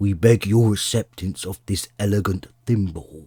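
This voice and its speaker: A man puts on a character voice at a fairly low pitch and a moderate pace. His intonation is fairly even, and the sound is dry and close with no echo. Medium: read story. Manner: solemn, grave.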